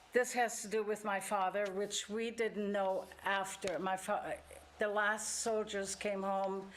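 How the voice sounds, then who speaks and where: A woman with a German accent talks at a fairly slow pace in a flat, monotone way. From Germany. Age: 80s+. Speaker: church member sharing life story. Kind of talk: testimony. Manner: halting.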